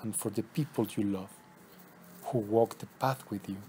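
A man's soothing tone at a fairly low pitch. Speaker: spiritual teacher leading meditations. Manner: slow, soothing, hushed delivery with long pauses between instructions; incantatory, circling back to repeated words like path, heart and horizon.

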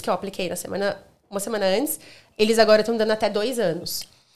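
Against a quiet background, a woman with a fairly high pitch talks at a very fast pace. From Brazil. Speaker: hospitality manager; podcast guest. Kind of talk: casual chat. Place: home room. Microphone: studio mic.

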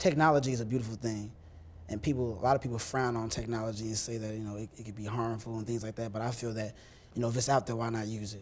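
Light background noise sits behind a man talking at a very fast pace. His intonation is fairly even. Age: young. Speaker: church youth leader. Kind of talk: interview. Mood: earnest, calm. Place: studio. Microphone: lapel.

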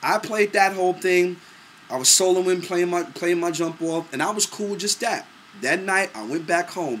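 A man with a New York accent talks at a moderate pace in a high pitch, animated in tone, over light background noise. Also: ordinary pitch variation. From New York, Brooklyn. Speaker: singer and producer. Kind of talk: casual monologue to camera. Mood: relaxed, proud reminiscing. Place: home room. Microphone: webcam.

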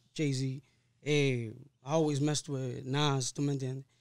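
Against a quiet background, a man with a fairly high pitch speaks at a fairly slow pace with fairly even intonation. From Harlem, New York (Dominican-born); New York. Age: 30s. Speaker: singer-songwriter; podcast guest. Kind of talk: casual interview chat. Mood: relaxed, reflective storytelling. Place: studio. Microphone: studio mic.

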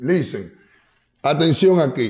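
A man's voice in an animated tone. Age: 30s. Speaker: urban music artist. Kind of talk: casual interview.

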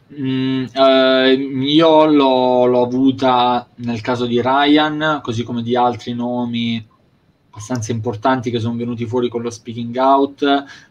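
A man talks at a very slow pace. His intonation is monotone and flat. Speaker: wrestling show host. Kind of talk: casual chat. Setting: video call. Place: home room. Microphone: video call.

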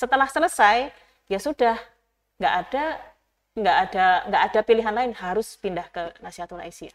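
A woman with a fairly high pitch speaks at a moderate pace, her loudness swinging widely. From Java, Gunung Kidul (Yogyakarta); Java. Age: 30s. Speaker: youth organization leader, former teacher; interview guest. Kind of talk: interview; interview answer. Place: studio. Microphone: lapel.

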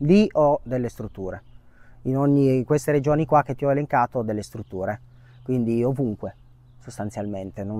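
A man's dark, mellow voice at a very fast pace, dry with no echo. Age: 30s. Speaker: short-term rental manager; interview guest. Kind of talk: testimony. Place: garden. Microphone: lapel.

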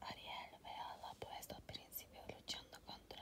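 At a very slow pace, a woman delivers her words in a whisper. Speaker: ASMR storyteller. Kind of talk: ASMR story reading. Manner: soft whispered.

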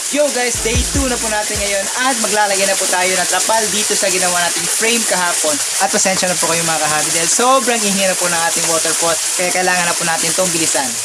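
A man with a high-pitched voice talks very fast in a raised, projected voice at very even loudness, with ordinary pitch variation, audible room echo and noticeable background noise. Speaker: fish-keeping YouTuber. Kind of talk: DIY tutorial.

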